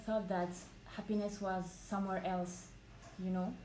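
Noticeable background noise and audible room echo surround a woman with a French accent. She speaks at a medium pitch with monotone, flat intonation. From France, Paris. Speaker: podcast guest. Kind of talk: casual chat.

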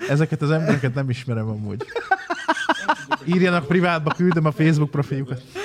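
A man talks in an animated tone at a very fast pace with hardly any pauses and big swings in loudness, against noticeable background noise. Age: 30s. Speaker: streamer. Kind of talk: casual chat.

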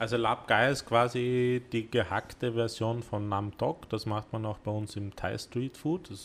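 This is a man with a normal speaking voice at a medium pitch. He talks at a fairly slow pace with fairly even intonation and hardly any pauses. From Vienna, partly raised in South Korea. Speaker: cooking studio owner. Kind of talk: casual chat. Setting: cooking studio.

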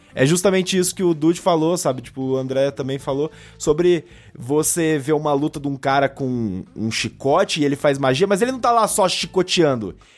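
A man's fairly high voice with lively intonation, music playing in the background. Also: moderate pace. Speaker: guest podcaster. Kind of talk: casual chat.

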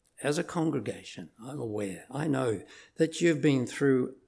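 Vocal fry and lively intonation at a fairly slow pace, with a New Zealand accent. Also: man. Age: old. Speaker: visiting preacher. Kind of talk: sermon. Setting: church.

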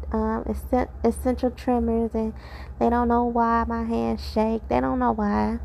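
A woman talks at a fairly slow pace and a fairly high pitch, with little pitch movement. Her tone is slightly mellow, with vocal fry.

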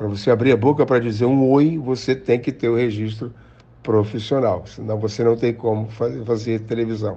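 An ordinary speaking voice, a man at medium pitch, fairly even intonation and a fairly quick pace. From Rio de Janeiro, Brazil. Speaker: actor and director. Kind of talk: interview.

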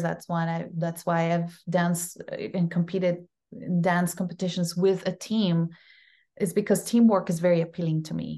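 Someone with a Costa Rican accent speaks at a moderate pace in a monotone, flat intonation. The background is quiet. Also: woman. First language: Spanish. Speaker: actress. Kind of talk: casual interview.

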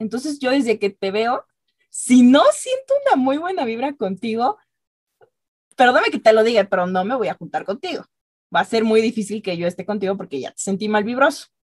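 A woman with a fairly high, somewhat breathy voice and lively intonation is heard in a dry, close recording with no echo. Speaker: podcast co-host. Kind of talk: casual chat.

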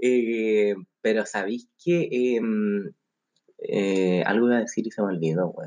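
In a Chilean accent, a man speaks at a very slow pace with a dark, mellow tone. His pitch sits in the medium range with ordinary variation. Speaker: podcast co-host. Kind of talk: casual chat. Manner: animated.

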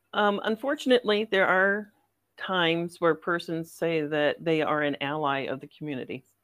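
Using an unremarkable speaking voice, a woman with a fairly low pitch talks at a moderate pace with lively intonation and big swings in loudness. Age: 50s. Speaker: therapist. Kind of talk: interview conversation.

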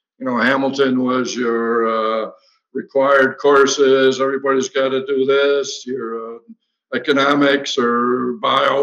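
A plain, everyday voice at a fairly slow pace, with fairly even intonation. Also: man. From Western New York, Batavia. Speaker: former college basketball player. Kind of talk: casual interview.

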